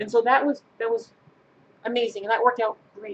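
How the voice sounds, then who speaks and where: The woman's voice has a fairly high pitch. She talks at a fairly quick pace. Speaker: YouTuber. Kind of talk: Q&A vlog. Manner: halting.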